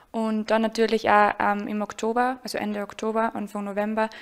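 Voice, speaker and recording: A woman with a fairly high voice speaks at a moderate pace in a monotone, flat delivery over light background noise. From Austria, Salzburg; Austria. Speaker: karate athlete. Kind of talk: interview. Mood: friendly, smiling. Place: home room. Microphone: handheld.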